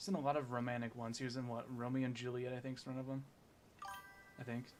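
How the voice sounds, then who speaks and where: Very fast speech from a man at medium pitch, monotone and flat in intonation, against noticeable background noise. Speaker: gaming streamer. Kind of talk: casual live stream chat. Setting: live stream.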